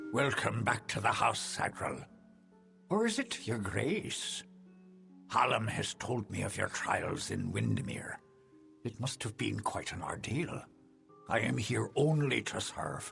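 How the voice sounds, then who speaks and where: Over clear music in the background, a man of medium pitch does a put-on character voice at a fairly slow pace, with long, frequent pauses. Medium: video game. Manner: courteous, deferential.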